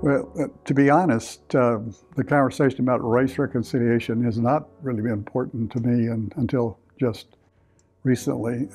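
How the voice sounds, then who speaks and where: Music plays in the background as the voice speaks with a Texan accent. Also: man. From US South, Victoria, Texas. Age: 70s. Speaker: church member. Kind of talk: testimony. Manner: halting.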